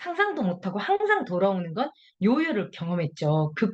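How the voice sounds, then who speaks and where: A woman speaks at a moderate pace with a strong Jeolla accent. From Jeolla, South Korea. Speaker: health product distributor. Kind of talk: testimony.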